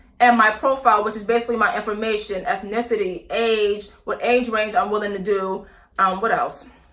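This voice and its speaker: Noticeable background noise behind a woman talking in a fairly high pitch. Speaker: YouTuber, aspiring actress and model. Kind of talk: casual vlog review. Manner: fast; halting, with many self-corrections and fillers.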